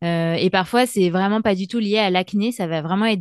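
A woman talks at a moderate pace in a plain, everyday voice, her pitch medium and her intonation fairly even. The sound is dry and close with no echo, over a quiet background. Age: 30s. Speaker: freelance communications writer and awareness advocate. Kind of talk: interview testimony.

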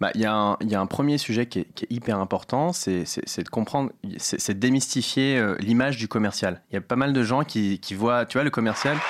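A man speaks in a normal speaking voice at a medium pitch with ordinary pitch variation. His pace is moderate and he hardly pauses. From Paris, 13th arrondissement. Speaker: startup founder. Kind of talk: casual interview. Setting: studio.

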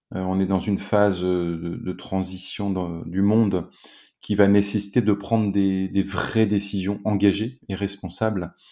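The man talks at a fairly slow pace. His pitch sits fairly low. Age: 40s. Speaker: business executive and company co-founder. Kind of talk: interview. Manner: halting, many repetitions and fillers.

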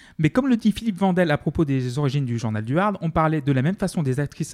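A man's very fast speech at a fairly high pitch, lively in intonation, with a dry, close sound and no echo. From France, outside Paris. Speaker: podcast co-host. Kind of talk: casual chat.

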